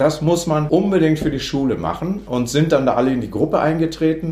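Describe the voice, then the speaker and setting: With audible room echo, a man talks at a moderate pace, his voice showing vocal fry. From northern Germany. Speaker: music education professor. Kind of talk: interview. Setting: office. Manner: halting.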